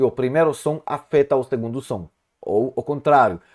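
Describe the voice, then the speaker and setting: On a very clean recording with a silent background and a dry, close sound with no echo, a man with a Hebrew accent talks at a moderate pace and medium pitch. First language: Hebrew (speaking Portuguese). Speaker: Hebrew teacher. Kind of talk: lecture. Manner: halting.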